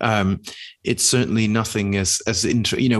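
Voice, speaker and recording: A man with a British accent talks at a fairly low pitch. The background is quiet. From Britain. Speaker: podcast co-host. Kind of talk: casual chat.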